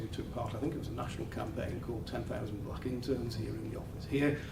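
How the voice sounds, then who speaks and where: A man speaks at a fairly quick pace with fairly even intonation. Noticeable background noise and audible room echo are present. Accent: northern English. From northern England. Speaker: law firm office head. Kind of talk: welcome speech. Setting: office event with live audience.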